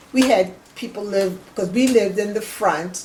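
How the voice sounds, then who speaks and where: Speaking fairly slowly with an American accent, a woman uses a medium pitch and ordinary pitch variation, her voice somewhat breathy with a dark, mellow tone. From US South, Charleston, South Carolina. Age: 70s. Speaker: family elder interviewee. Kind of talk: oral history interview. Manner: halting.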